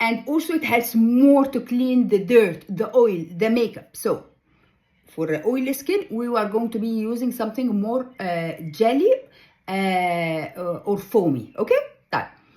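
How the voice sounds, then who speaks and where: The voice has a dark, mellow tone, a somewhat breathy quality and lively intonation. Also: woman, fairly high pitch for a woman, fairly slow pace. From Egypt. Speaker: ghostwriter and skincare vlogger. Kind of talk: tutorial. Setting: reading notes from another screen. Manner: halting, many fillers.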